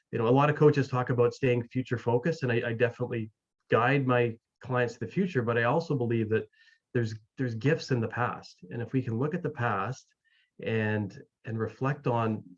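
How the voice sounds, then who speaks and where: A somewhat breathy voice with a Canadian accent speaks at a fairly quick pace, its pitch varying in an ordinary way. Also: man, medium pitch for a man. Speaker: mental wellness coach and author. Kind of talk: interview. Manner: many fillers and repetitions.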